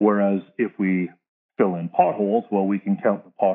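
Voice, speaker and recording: With a Canadian accent, a man uses an ordinary speaking voice, fairly low in pitch, at a fairly quick pace. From Canada. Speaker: military veteran and advocate. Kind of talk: interview.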